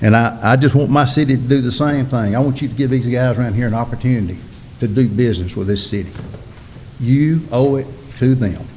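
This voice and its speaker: Over audible room echo, a man with a Mississippi accent talks at a fairly quick pace, his medium pitch showing ordinary variation. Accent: Southern US (Mississippi). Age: 60s. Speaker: local business owner addressing city board. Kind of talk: public comment at city board meeting. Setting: city board meeting. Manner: impassioned.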